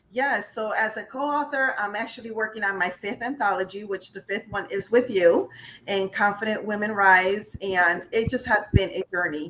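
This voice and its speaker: A woman with an American accent speaks at a medium pitch and a moderate pace, with ordinary pitch variation. She leaves hardly any pauses, and there is noticeable background noise. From upstate New York. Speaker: life and career coach, author. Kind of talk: interview.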